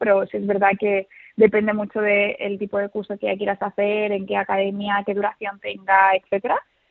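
Music plays in the background as a woman talks at a moderate pace. Her medium-pitched voice stays monotone and flat. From Seville. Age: young. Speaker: study abroad advisor. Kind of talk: interview. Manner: halting.

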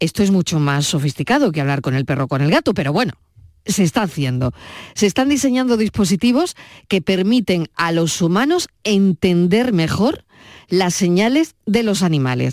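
A woman speaks at a moderate pace and a medium pitch, her voice swinging very widely in pitch while her loudness stays very even, in a very clean recording with a silent background and a dry, close sound with no echo. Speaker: radio host. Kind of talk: radio talk show chat. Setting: studio.

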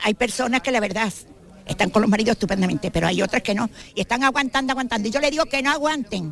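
A woman's very fast speech with ordinary pitch variation, set against noticeable background noise. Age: 70s. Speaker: amateur monologuist. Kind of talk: radio interview.

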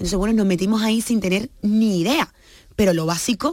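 In an ordinary speaking voice, a woman with a medium pitch talks at a moderate pace on a very clean recording with a silent background. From Cuba, of Guinea-Bissau parents. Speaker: business founder. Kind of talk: radio interview.

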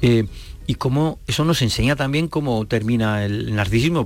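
Speaking at a fairly quick pace, a man uses a normal speaking voice with medium pitch and ordinary pitch variation. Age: 60s. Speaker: classics professor and author. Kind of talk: interview.

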